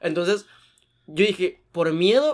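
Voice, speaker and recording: On a very clean recording with a silent background, a man with a Mexican accent speaks with ordinary pitch variation. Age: 20s. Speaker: podcast co-host. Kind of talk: casual chat.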